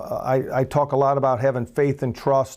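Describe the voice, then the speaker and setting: Someone with a Louisiana accent talks at a fairly quick pace. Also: man. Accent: Louisiana Southern US. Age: 60s. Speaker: political candidate. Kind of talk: campaign speech.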